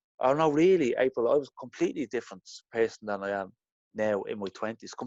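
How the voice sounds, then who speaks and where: A man with an Irish accent talks at a very fast pace with big swings in loudness. The sound is dry and close, with no echo. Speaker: interview guest sharing blushing experience. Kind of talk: casual interview.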